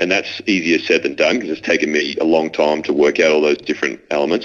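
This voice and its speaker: A man talks with an Australian accent. His pace is very fast. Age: 30s. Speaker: former AFL footballer. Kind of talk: casual interview conversation. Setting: phone call from London.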